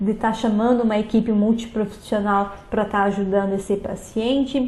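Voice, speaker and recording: A woman's dark, mellow voice comes through with audible room echo. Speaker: teacher. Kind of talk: lecture.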